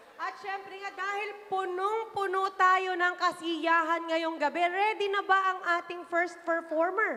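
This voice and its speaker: Bright and sharp in tone, a woman's extremely high-pitched, raised, projected voice moves at a fairly slow pace in a monotone, flat delivery with hardly any pauses. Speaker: variety show host. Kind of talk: live show hosting.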